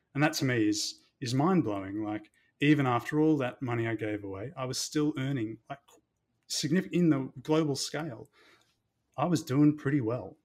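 Recorded very cleanly against a silent background, a man speaks with an Australian accent at a fairly high pitch. His pace is moderate and his pitch varies in an ordinary way. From Melbourne, Australia. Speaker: doctor. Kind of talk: casual chat. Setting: office.

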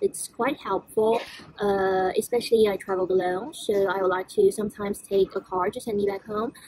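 A woman with a Chinese accent, fairly even intonation, and a dry sound with no echo. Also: moderate pace. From China. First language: Mandarin Chinese. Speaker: travel vlogger. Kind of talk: casual vlog talk to camera. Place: station. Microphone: phone near.

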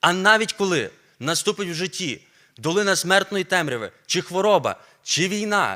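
Speaking at a fairly slow pace, a man with a high pitch and a bright, sharp tone comes through in a very clean recording with a silent background. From Ukraine, Volyn region. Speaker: preacher, seminary teacher. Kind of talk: sermon. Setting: church.

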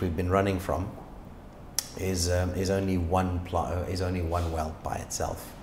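Noticeable background noise runs under the voice. The intonation stays fairly even. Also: man. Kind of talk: interview answer. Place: office. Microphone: lapel.

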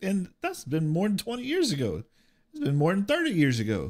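A fairly slow-paced man's voice, with a quiet background. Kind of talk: personal storytelling during a reaction video. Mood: reflective, somber. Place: home room. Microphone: studio mic.

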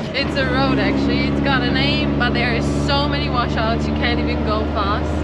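Loud background noise fills the clip. Over it, a woman talks at a moderate pace. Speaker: travel vlogger. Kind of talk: casual vlog chat. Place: car.

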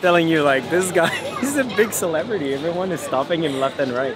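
Against crowd noise in the background, a man speaks with ordinary pitch variation. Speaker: travel vlogger. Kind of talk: casual vlog chat. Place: street. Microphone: phone near.

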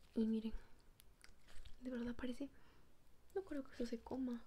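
A soft-spoken woman, high in pitch, relaxed and dark and mellow in tone, with light background noise. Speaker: ASMR creator. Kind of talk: ASMR slime unboxing, casual talk to camera. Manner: soft-spoken, relaxed. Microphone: phone near.

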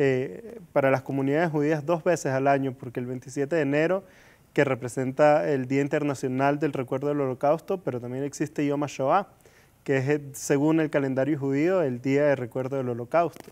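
Ordinary pitch variation at a moderate pace. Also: man, fairly high pitch for a man. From Venezuela. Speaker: interview guest. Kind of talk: interview. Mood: earnest, calm. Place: studio. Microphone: lapel.

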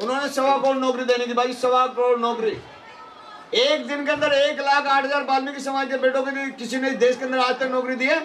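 Fairly even intonation comes through over light background noise. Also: man. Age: 60s. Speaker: party politician. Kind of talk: political rally speech. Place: hall. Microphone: handheld.

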